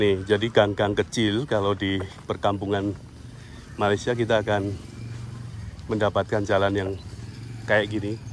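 Light background noise sits behind a man of fairly low pitch who speaks in a monotone, flat intonation with long, frequent pauses, the sound dry with no echo. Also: moderate pace. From Indonesia. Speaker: travel vlogger. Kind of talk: walking vlog narration with street interviews. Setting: outdoors. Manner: casual, conversational. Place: street. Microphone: phone near.

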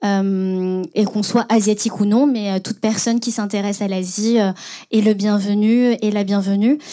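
A woman's dark, mellow, monotone voice at a moderate pace against a quiet background. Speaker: podcast host and moderator. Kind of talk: panel moderation and scripted intro. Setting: stage with audience. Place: hall. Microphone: handheld.

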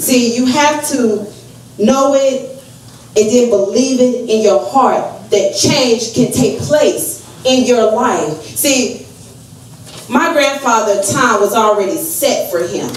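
A high-pitched woman with an American accent at a very slow pace, her loudness very even and her pitch varying in an ordinary way, with audible room echo and light background noise. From US South, North Carolina. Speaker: evangelist. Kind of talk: fervent eulogy-sermon at a family funeral, exhorting the congregation. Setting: funeral home pulpit with congregation. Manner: loud, rising preacherly call-and-response with repeated amens; emotional, earnest exhortation, asking rhetorical questions of the family. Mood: emotional, wiping tears. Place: hall.

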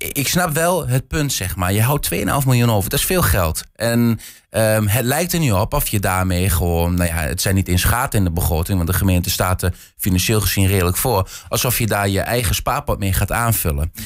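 A man's fairly low-pitched voice against a quiet background. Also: moderate pace. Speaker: reporter guest. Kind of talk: interview answer. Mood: calm, explanatory. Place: studio. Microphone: studio mic.

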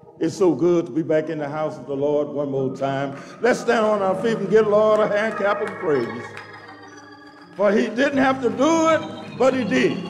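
Clear music sits behind the voice. The man keeps a moderate pace. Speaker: church minister leading worship. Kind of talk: sermon-style worship welcome. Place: church. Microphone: handheld.

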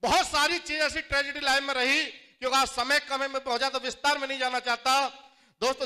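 A man projects a raised voice at an extremely high pitch, bright and sharp in tone, over a quiet background. His intonation is monotone and flat, and his pace is moderate. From Jattari, Aligarh district, Uttar Pradesh, India; Uttar Pradesh, India. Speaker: network marketing distributor, former juice seller; former juice seller. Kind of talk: motivational stage speech. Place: hall.

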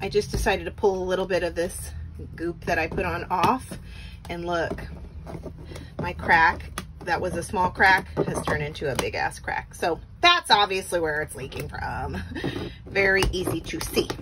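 Noticeable background noise sits under speech at a moderate pace with long, frequent pauses. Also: woman. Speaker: vacation rental host. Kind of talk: casual vlog chat. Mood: mildly frustrated, grossed out. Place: bathroom. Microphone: phone near.

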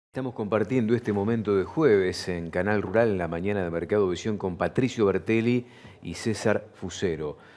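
A man's ordinary speaking voice, fairly low in pitch, with ordinary pitch variation at a moderate pace. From Argentina. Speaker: farm TV host. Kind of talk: interview. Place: studio. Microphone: lapel.

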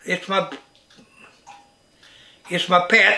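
A rural Missouri accent over music in the background. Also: man. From Missouri, USA. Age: 80s+. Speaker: farmer. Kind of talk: interview answer. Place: kitchen.

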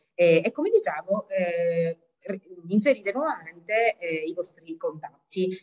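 Using lively intonation, a woman with an Italian accent speaks at a fairly slow pace. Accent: Italian accent when speaking English. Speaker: language school executive; webinar presenter. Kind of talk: webinar presentation. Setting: video call, sharing one computer. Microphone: video call.

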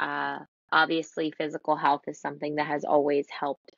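A woman speaks at a moderate pace in a very deep, low pitch. The sound is dry with no echo, and the background is quiet. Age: 20s. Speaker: entrepreneur, boutique owner. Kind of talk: interview. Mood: reflective, calm. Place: home room. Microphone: video call.

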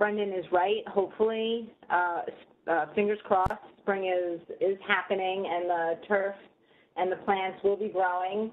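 A woman speaks fairly slowly, her intonation monotone and flat. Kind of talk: webinar presentation. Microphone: video call.

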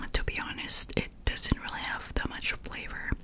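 A woman delivers her words in a whisper at a fairly slow pace. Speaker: food ASMR creator. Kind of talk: ASMR eating video, whispered talk to camera. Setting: close-mic recording. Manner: whispered, soft-spoken. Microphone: handheld.

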